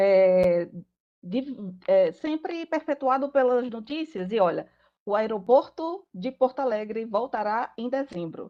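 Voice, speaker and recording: Against a quiet background, a woman with a Paraíba accent speaks at a fairly slow pace, her high pitch carrying lively intonation. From Paraíba, northeastern Brazil. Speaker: lawyer. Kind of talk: panel talk.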